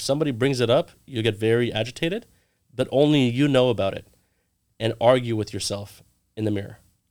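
Speaking at a fairly quick pace with an American accent, a man uses a plain, everyday voice with ordinary pitch variation in a very clean recording with a silent background. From US West Coast (Orange County, California). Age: 30s. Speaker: real estate agent, Navy veteran. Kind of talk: casual interview.

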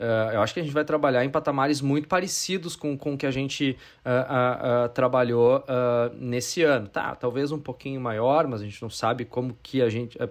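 A man talks at a moderate pace in a medium pitch with ordinary pitch variation. He has an ordinary speaking voice, and the background is quiet. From Brazil, interior of Rio Grande do Sul. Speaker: advertising executive. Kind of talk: casual interview.

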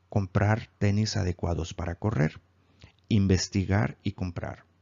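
A man speaks at a very slow pace. His pitch is fairly low and his intonation fairly even. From Mexico, Mazatlán (Sinaloa). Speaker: self-help coach. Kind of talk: self-help course lesson.

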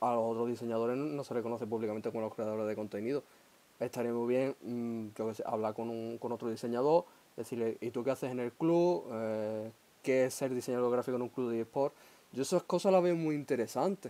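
This man talks in an Andalusian accent at medium pitch. His tone is dark and mellow, with ordinary pitch variation. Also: fairly quick pace. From Huelva, Andalusia. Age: 20s. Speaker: podcast host. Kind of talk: casual chat.

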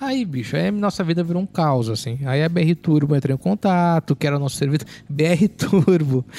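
A man with a Porto Alegre accent talks at a moderate pace with hardly any pauses, his fairly high voice dark and mellow in tone. His intonation is lively, and the sound is dry and close with no echo. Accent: Porto Alegre (gaúcho). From Porto Alegre, southern Brazil. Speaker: podcast guest. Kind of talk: casual chat.

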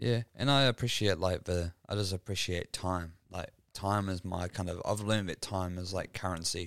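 The speaker has a New Zealand accent and hardly pauses. The recording is very clean, with a silent background. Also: man, very deep, low pitch for a man, moderate pace. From New Zealand, Dunedin. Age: 30s. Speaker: podcast host. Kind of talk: casual chat. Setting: home studio.

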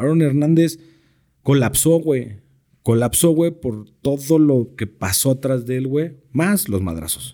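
A man talks at a fairly slow pace in a dark, mellow tone with ordinary pitch variation. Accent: Mexican. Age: 30s. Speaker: sports broadcaster and American football coach. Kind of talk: casual chat.

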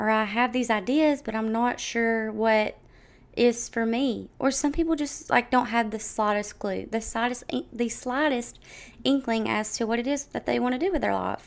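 On a very clean recording with a silent background, a woman with a fairly high pitch and ordinary pitch variation talks at a moderate pace in an unremarkable speaking voice. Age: 20s. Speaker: podcast host. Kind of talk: solo monologue podcast. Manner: casual, filler-heavy.

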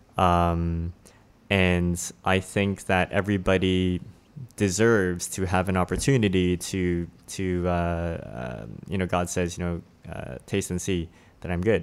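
A man speaks at a fairly slow pace. His voice is very deep and low. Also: ordinary pitch variation, very clean recording, silent background. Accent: Canadian. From Toronto, Canada. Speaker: guest with own podcast.

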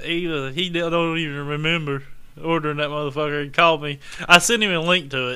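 A man talks at a fairly quick pace in a normal speaking voice. His intonation stays fairly even. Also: fairly high pitch for a man. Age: 40s. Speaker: disc golf podcast co-host. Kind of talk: casual chat.

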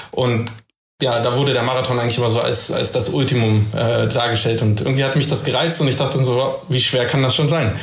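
A man with a medium pitch speaks at a very fast pace, his intonation fairly even and his loudness very even. Audible room echo surrounds his voice. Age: 40s. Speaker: office worker and returning runner. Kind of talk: casual chat. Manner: hesitant, many filler sounds.

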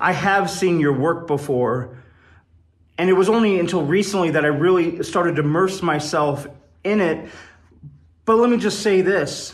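A man with a high pitch speaks at a moderate pace with long, frequent pauses, ordinary pitch variation and very even loudness, in audible room echo. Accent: American. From Wyoming, US. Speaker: poet and improv comedian. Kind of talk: recorded personal message.

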